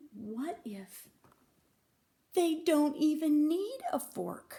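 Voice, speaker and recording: A woman's put-on character voice, high in pitch, at a very slow pace. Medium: read story.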